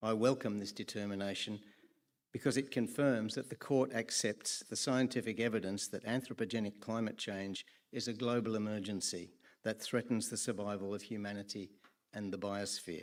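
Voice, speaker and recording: Speaking at a moderate pace with an Australian accent, a man uses a fairly low pitch and fairly even intonation on a very clean recording with a silent background. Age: 70s. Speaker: public hearing speaker. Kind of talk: prepared public testimony. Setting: public hearing.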